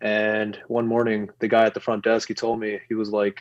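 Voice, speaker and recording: A man speaks with a New York accent. His pitch sits in the medium range. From New York City. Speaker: activist, movement founder. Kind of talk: podcast interview. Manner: halting, many fillers.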